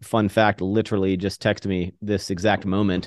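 Speaking fairly quickly, a man with an American accent keeps a fairly low pitch and a monotone, flat intonation. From US East Coast. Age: 30s. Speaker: YouTuber and entrepreneur. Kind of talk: casual chat.

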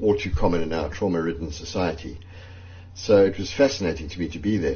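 Audible room echo surrounds a man's very deep, low, somewhat breathy voice as he speaks at a fairly quick pace. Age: 60s. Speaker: journalist. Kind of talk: personal testimony.

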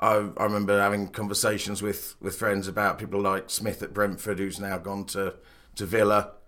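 In a very clean recording with a silent background, a man speaks at a fairly low pitch with a bright, sharp tone. His intonation is monotone and flat, and his pace moderate. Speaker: academic, son of guest, football fan. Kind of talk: interview, casual chat.

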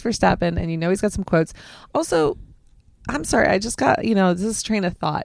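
Pitch shifts in an ordinary way as the speaker is reading aloud in a natural voice.

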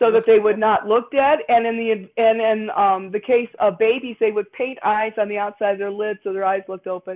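A woman speaks in a Chicago accent at a moderate pace. Her pitch is fairly high, with ordinary pitch variation. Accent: Midwestern American (Chicago area). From northern Indiana, near Chicago (Gary area). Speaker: costume designer and university teacher. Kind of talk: casual interview. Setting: remote call from her dining room.

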